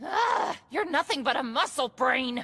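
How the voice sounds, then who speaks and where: Using a put-on character voice, a woman speaks at a moderate pace in a high, raspy register. Her pitch swings very widely. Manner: hollering, shouting.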